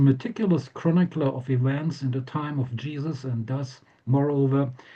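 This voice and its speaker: This man's voice sits at a fairly high pitch and is somewhat breathy. His tone is dark and mellow. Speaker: professor. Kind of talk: lecture. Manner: hesitant with fillers; reading from manuscript.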